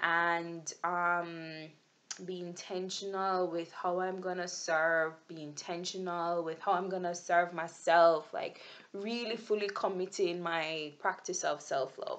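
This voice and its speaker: In a Jamaican accent, a woman speaks very slowly at a fairly low pitch. Her intonation is monotone and flat. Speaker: vlogger. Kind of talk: video journal monologue. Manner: halting, with many fillers and restarts.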